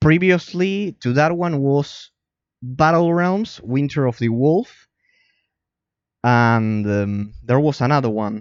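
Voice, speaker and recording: Against a quiet background, a man with a non-native accent speaks very slowly with lively intonation and long, frequent pauses. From Argentina. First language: Spanish. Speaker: game streamer and analyst. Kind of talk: live stream chat reading and responding to viewer. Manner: halting, many repetitions and fillers.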